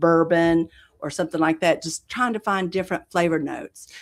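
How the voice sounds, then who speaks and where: A woman with a Southern US accent at a moderate pace, in a very clean recording with a silent background. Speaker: coffee roaster business owner. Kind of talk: interview.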